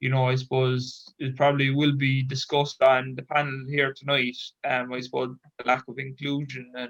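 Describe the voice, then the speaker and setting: With a Cork accent, a man speaks at a medium pitch and a moderate pace in a monotone, flat way. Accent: Irish (Cork). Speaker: Special Olympics athlete and advocate. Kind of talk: panel discussion.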